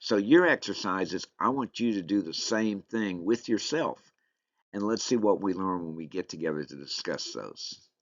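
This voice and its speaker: A man with a Southern US accent, a fairly low pitch, lively intonation, big swings in loudness and a moderate pace. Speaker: leadership course instructor. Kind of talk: online course lecture. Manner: casual, conversational.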